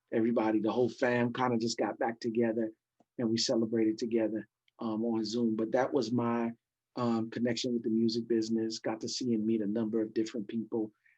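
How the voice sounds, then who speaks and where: In a New York accent, a man speaks at a fairly quick pace and medium pitch, his dark, mellow tone kept to a monotone, flat intonation. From New York City (Brooklyn and Queens). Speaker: pastor and former hip hop hype man. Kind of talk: casual interview.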